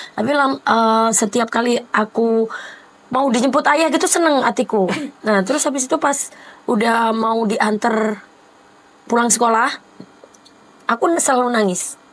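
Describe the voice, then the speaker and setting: Over noticeable background noise, a woman with a fairly high pitch and ordinary pitch variation speaks at a moderate pace with very even loudness and long, frequent pauses. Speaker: singer and vlogger. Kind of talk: casual chat.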